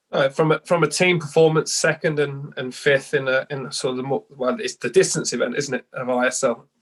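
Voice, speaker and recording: A fairly high-pitched man talks with a London accent at a moderate pace. The sound is dry and close with no echo. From England, East London. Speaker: head swim coach. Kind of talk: podcast interview. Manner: halting, many repeats.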